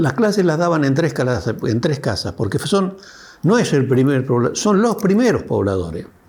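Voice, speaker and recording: Through noticeable background noise, a man with a fairly high pitch makes very wide pitch swings. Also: moderate pace, very even loudness. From Argentina, Río Negro (Alto Valle). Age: 80s+. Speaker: elderly local resident. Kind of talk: documentary interview testimony. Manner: halting, with self-corrections.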